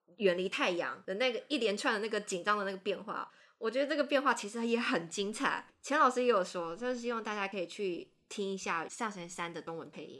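Lively intonation and big swings in loudness mark an unremarkable speaking voice. The pace is fairly quick. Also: woman, fairly high pitch for a woman. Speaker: podcast host, anime editor. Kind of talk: casual chat.

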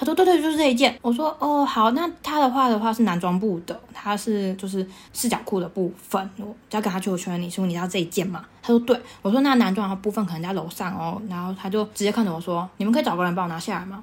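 A woman with a Taiwanese accent talks at a very fast pace, somewhat breathy, her intonation lively. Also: medium pitch for a woman, hardly any pauses. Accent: Taiwanese Mandarin. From Taiwan, Taichung. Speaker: podcast host, fashion retail worker. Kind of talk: casual chat.

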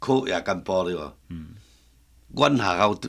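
A man talks with a Taiwanese accent in a bright, sharp tone. His intonation is lively. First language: Taiwanese Hokkien (speaking Chinese). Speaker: master woodcarver. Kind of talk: casual interview chat in Hokkien.

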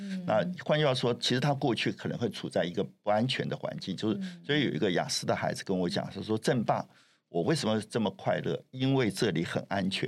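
A man's medium-pitched voice with very wide pitch swings, vocal fry and a fairly quick pace. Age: 70s. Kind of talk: interview.

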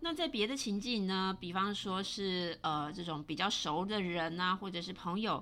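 A woman's bright, sharp voice at medium pitch and a moderate pace. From Taiwan. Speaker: podcast host. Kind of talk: solo podcast monologue. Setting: home recording.

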